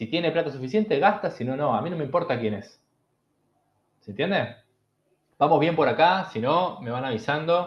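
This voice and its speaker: A man speaks in a Rioplatense accent at a fairly high pitch. His intonation is lively, broken by long, frequent pauses. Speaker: bitcoin educator. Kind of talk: online lecture. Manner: fast; animated.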